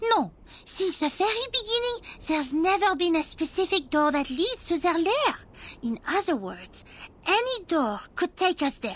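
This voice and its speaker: Putting on a character voice, a woman speaks at a moderate pace at an extremely high pitch with very wide pitch swings. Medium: video game. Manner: brisk, commanding.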